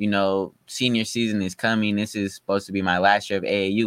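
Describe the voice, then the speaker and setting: A man speaks in an American accent at a moderate pace. His tone is bright and sharp. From Sacramento, California. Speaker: high school basketball player. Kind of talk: casual interview. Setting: studio.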